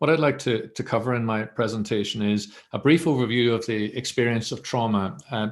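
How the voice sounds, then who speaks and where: Speaking fairly quickly, a man with a Northern Irish accent keeps to a medium pitch. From Northern Ireland. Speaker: mental health professional, academic centre director. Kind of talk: webinar presentation.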